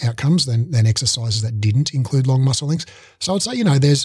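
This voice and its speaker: Against a quiet background, a man speaks somewhat breathily in a dry sound with no echo. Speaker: podcast guest or host. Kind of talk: interview answer. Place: home room. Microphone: studio mic.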